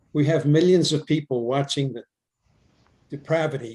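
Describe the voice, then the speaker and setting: Somewhat breathy and dark, mellow in tone, a man's voice moves with ordinary pitch variation. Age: 80s+. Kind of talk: online group discussion. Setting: video call.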